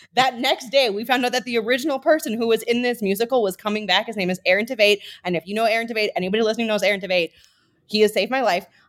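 A woman with an American accent talks very fast at a fairly high pitch, on a very clean recording with a silent background. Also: ordinary pitch variation. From Minnesota. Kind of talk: casual chat.

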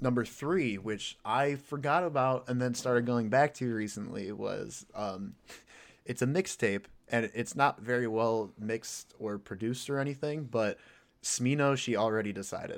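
On a very clean recording with a silent background, a man speaks at a medium pitch. His pace is moderate and his pitch variation ordinary. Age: 20s. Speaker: podcast guest, hip hop fan. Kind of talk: casual chat. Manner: halting.

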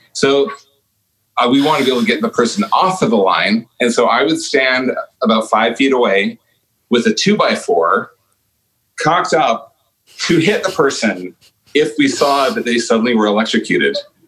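A man at a moderate pace, his loudness very even, with long, frequent pauses. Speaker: guest. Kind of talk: casual chat.

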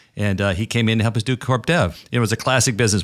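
At a fairly quick pace, the speaker has a normal speaking voice in a very clean recording with a silent background. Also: man. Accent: American. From New York (Brooklyn). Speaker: podcast host, trade association executive. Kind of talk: interview conversation.

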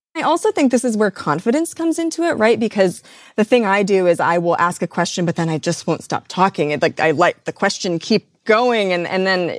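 The sound is dry and close with no echo as a woman talks fairly quickly, her pitch swinging very widely. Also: medium pitch for a woman, very clean recording, silent background. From US Midwest. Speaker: radio and podcast producer. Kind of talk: interview.

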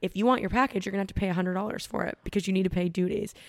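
She talks at a very fast pace with a Canadian accent. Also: dry, close sound with no echo. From Canada, Ontario. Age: 20s. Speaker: fitness influencer. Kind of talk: casual chat.

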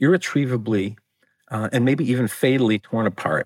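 A man with an American accent has an unremarkable speaking voice, a medium pitch and ordinary pitch variation at a moderate pace. The very clean recording has a silent background and a dry, close sound with no echo. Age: 60s. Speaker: author. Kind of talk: interview.

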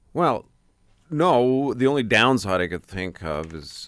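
On a very clean recording with a silent background, a man with a Canadian accent speaks with lively intonation. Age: 60s. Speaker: newspaper columnist. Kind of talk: casual chat. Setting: radio studio.

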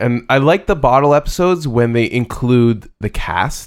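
A man with an unremarkable speaking voice and a Canadian accent talks at a fairly high pitch with lively intonation. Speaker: podcast co-host. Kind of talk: casual chat.

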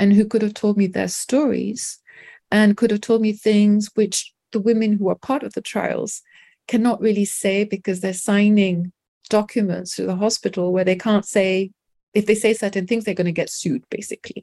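With a French accent, a woman's medium-pitched voice has a dark, mellow tone and monotone, flat intonation, in a dry, close sound with no echo on a very clean recording with a silent background. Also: moderate pace. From London, England (French-Indian family). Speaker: documentary filmmaker and doula. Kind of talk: interview conversation.

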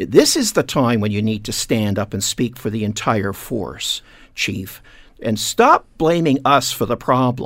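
A man's normal speaking voice, medium in pitch, at a fairly slow pace with ordinary pitch variation. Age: 60s. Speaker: heritage business owner and community activist. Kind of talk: radio interview.

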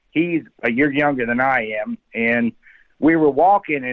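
A man speaks at a fairly slow pace with an American accent, his pitch medium and his intonation lively. It is an unremarkable speaking voice. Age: 60s. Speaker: eyewitness. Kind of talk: storytelling.

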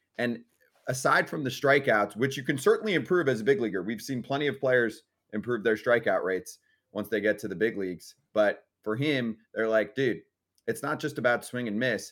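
This man has an ordinary speaking voice at a medium pitch, with ordinary pitch variation and a moderate pace on a very clean recording with a silent background. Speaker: sports radio host. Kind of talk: casual sports talk show banter. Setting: studio.

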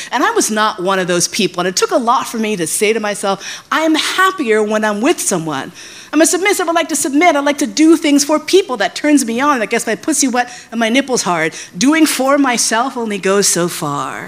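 Over noticeable background noise, a woman with a New York accent talks at a fairly quick pace in a high voice with very wide pitch swings. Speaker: sex educator. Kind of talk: live storytelling.

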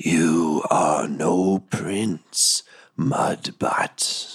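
A man whispers in a put-on character voice. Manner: whispering, menacing.

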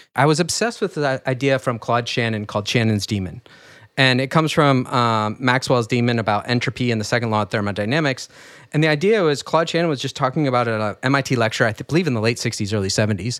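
A man speaks at a very fast pace with medium pitch and ordinary pitch variation. The recording is very clean, with a silent background. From US Midwest, rural Michigan. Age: 40s. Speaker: entrepreneur and trader. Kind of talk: interview.

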